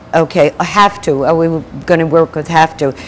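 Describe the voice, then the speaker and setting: There is noticeable background noise behind a woman speaking. Her voice is fairly low and her pace is moderate. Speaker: spiritual minister / speaker. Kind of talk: spiritual talk to an audience.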